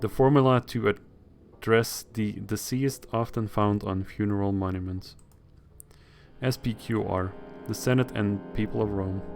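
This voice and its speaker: With a non-native accent, a man speaks at a fairly low pitch and a moderate pace, his intonation fairly even and broken by long, frequent pauses. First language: not English. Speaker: video game streamer. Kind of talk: let's play commentary with reading aloud. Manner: halting, self-correcting while reading.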